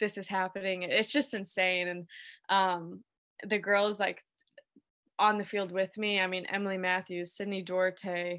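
In an American accent, a woman speaks at a medium pitch with a bright, sharp tone. Her intonation is monotone and flat over a quiet background. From Illinois, Chicago suburbs. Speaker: professional soccer player. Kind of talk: interview.

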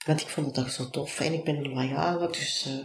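A woman's voice carries audible room echo. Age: 40s. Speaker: business coach. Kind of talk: interview.

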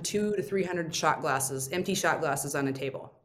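A woman with an American accent, fairly low-pitched, with ordinary pitch variation and audible room echo. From Indiana, US Midwest. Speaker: restaurant owner. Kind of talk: interview.

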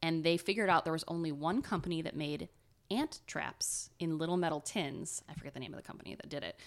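Talking at a very fast pace with an Ohio accent, a woman uses a fairly low pitch, ordinary pitch variation and big swings in loudness on a very clean recording with a silent background. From Ohio, US Midwest. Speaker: podcast co-host. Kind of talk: casual chat, storytelling.

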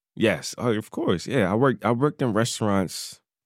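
An American-accented man with medium pitch, ordinary pitch variation and a moderate pace, in a very clean recording with a silent background and a dry, close sound with no echo. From North Carolina. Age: 20s. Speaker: self-taught chef and social media creator. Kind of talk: casual interview.

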